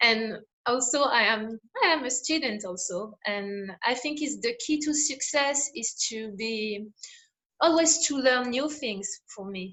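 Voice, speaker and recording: With a French accent, a woman speaks at a fairly slow pace, her high pitch carried by lively intonation. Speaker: interviewer, coach. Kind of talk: interview. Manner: halting.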